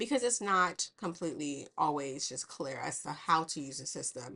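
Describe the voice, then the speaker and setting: Lively intonation rides on a bright, sharp tone. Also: woman. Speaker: virtual assistant and systems consultant. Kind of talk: tutorial. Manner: fast.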